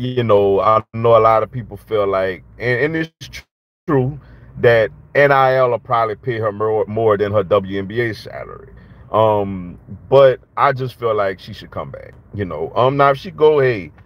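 The sound is dry with no echo. A man speaks with ordinary pitch variation and big swings in loudness. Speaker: sports fan commentator. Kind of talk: casual sports commentary vlog. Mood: calm, reflective opinion. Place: car. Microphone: phone near.

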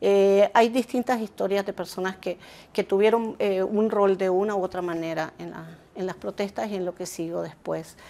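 Speaking at a moderate pace in a medium pitch, a woman has a dark, mellow tone, fairly even intonation and big swings in loudness. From Argentina, long life in Nicaragua. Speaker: journalist and author; journalist. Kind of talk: interview. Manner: halting, many fillers.

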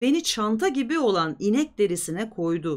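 Her intonation is lively, her pitch medium and her pace moderate. The recording is very clean, with a silent background.

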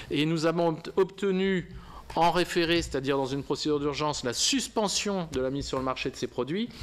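This man's pitch runs fairly high, and he keeps a moderate pace with ordinary pitch variation. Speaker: lawyer. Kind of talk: press conference. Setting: press room with audience. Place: meeting room. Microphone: podium.

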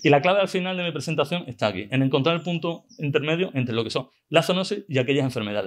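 Over a quiet background, a man with a fairly high pitch talks at a very fast pace with hardly any pauses. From Extremadura, Spain (La Vera area); Extremadura, Spain. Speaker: veterinarian and conference speaker; conference speaker. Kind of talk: conference talk; Q&A reply. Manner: halting, with many repetitions. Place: hall. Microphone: podium.

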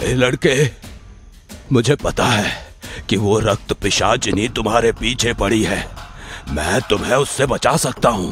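A man puts on a character voice at a medium pitch. He goes at a fairly slow pace while clear music plays in the background. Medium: audio drama. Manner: shouting, coaxing.

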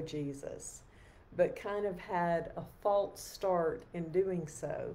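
A woman speaks at a very slow pace in a fairly low pitch. Her intonation stays fairly even. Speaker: lay preacher leading evening prayer. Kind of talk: sermon. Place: home room. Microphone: webcam.

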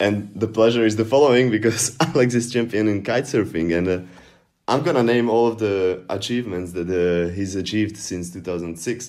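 A man with a Slovak accent, fairly low in pitch, at a moderate pace, in a very clean recording with a silent background. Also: ordinary pitch variation. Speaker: podcast co-host. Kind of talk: casual chat.

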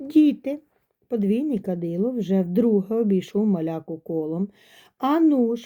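Reading aloud in a natural voice, lively intonation over a quiet background

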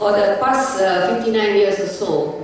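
A woman's voice with ordinary pitch variation, strong room echo and light background noise. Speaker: conference presenter. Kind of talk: lecture. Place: hall.

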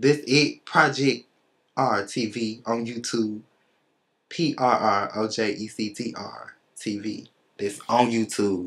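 Against a quiet background, a man with an American accent speaks at a very slow pace. He leaves long, frequent pauses. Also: ordinary pitch variation. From Memphis, Tennessee. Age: 20s. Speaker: rapper. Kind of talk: interview. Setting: studio. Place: studio.

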